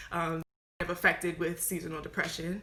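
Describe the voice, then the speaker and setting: A woman talks at a very fast pace. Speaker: mental health talk host. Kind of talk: live stream chat. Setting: live video stream. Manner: animated.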